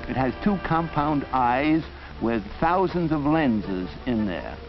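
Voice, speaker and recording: A man's medium-pitched voice at a fairly slow pace, with music in the background. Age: old. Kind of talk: educational film narration. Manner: meandering, hesitant, stammering.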